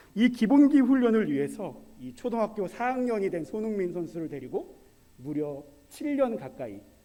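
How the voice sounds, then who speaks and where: Pitch swinging very widely, a high-voiced man speaks at a fairly slow pace with audible room echo. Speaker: preacher. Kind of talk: sermon. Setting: church service. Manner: conversational, asks audience questions.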